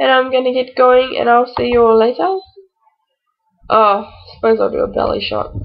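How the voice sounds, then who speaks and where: A woman talks with an Australian accent. She leaves long, frequent pauses. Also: moderate pace. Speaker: vlogger, new mother. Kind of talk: casual vlog.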